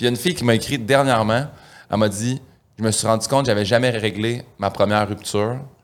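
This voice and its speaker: Pitch stays medium for this man, with ordinary variation. He talks at a very fast pace. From Quebec, Saint-Hyacinthe. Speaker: comedian. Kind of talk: casual chat.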